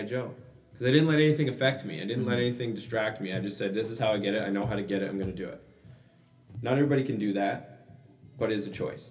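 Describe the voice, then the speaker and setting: Music runs behind the voice. The talking is very fast. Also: man. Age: 30s. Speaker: gym owner and fitness coach. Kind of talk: casual interview chat. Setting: studio.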